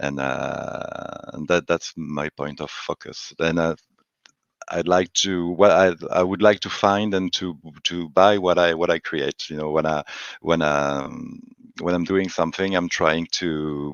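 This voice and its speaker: With a French accent, a man speaks at a fairly slow pace in a very deep, low voice. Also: fairly even intonation. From France, Paris. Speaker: collage artist. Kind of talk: casual chat. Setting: live stream. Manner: halting, many fillers.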